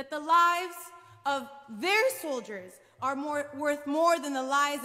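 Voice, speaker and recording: Over a quiet background, a woman with an American accent projects a raised voice with a bright, sharp tone at a moderate pace. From United States, Palestinian family. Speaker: professor and activist speaker; professor, speaker. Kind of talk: speech. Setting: church with audience, streamed. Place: hall. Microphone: podium.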